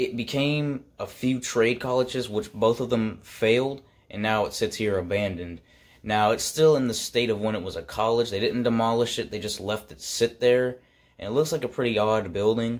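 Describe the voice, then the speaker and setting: At a moderate pace, a man talks, his intonation fairly even. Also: quiet background. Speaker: urban exploration vlogger. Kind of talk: casual vlog chat. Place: home room. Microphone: phone near.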